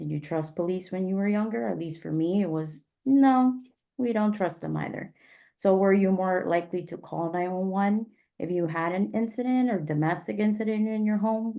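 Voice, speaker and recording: A woman's medium-pitched voice has a dark, mellow tone and ordinary pitch variation. She talks at a moderate pace against a quiet background. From South Florida, Miami. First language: Spanish. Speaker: emergency communications trainer. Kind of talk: training discussion.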